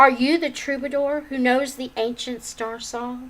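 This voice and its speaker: This soft-spoken, put-on character voice keeps a fairly even intonation. The pace is moderate. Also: woman, high pitch for a woman. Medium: read story.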